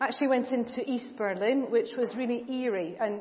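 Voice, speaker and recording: At a moderate pace, a woman speaks in a fairly high voice with ordinary pitch variation against noticeable background noise. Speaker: church preacher. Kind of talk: sermon. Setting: church.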